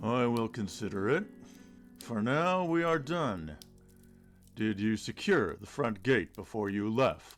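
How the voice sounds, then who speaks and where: Putting on a character voice at a medium pitch, a man speaks at a fairly slow pace with very wide pitch swings and long, frequent pauses, while faint music plays in the background. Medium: read story. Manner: terse, guarded.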